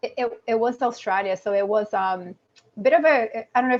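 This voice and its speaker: A woman with a Brazilian accent talks at a very fast pace with ordinary pitch variation. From south Brazil, Curitiba. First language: Portuguese. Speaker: environmental engineer. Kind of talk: interview.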